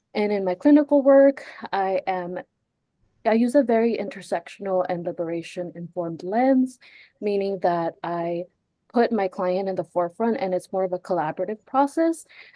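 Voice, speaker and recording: Using lively intonation, a woman with a Spanish accent speaks at a moderate pace and a medium pitch. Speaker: clinical psychology doctoral student. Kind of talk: webinar self-introduction.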